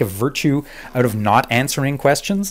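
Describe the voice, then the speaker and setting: In a Canadian accent, a man speaks at a moderate pace with lively intonation on a very clean recording with a silent background. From Montreal, Quebec. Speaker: former TV executive producer. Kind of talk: casual chat. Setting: call. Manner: halting, many fillers.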